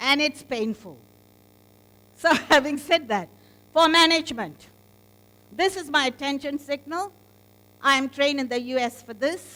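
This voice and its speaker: A woman's raised, projected voice, high in pitch, bright and sharp in tone, with ordinary pitch variation and long, frequent pauses. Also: moderate pace. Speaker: teacher trainer, conference workshop presenter. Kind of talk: interactive workshop talk. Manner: loud, energetic.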